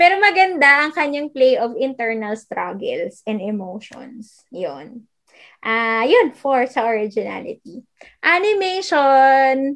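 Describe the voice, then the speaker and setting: With very wide pitch swings, a woman speaks at a high pitch and a very slow pace. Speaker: podcast co-host. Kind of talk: casual chat.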